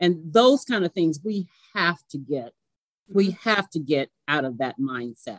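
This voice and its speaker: Pitch swings very widely at a fairly slow pace. The sound is dry and close, with no echo. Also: woman, fairly low pitch for a woman. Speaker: mortgage banker. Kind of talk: casual interview.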